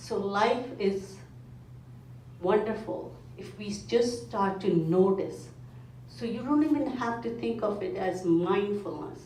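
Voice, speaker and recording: A woman talks at a very slow pace with long, frequent pauses, her medium pitch swinging very widely and her loudness shifting a lot. Noticeable background noise and audible room echo fill the recording. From India. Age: 50s. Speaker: mindfulness foundation speaker. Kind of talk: talk to a club meeting.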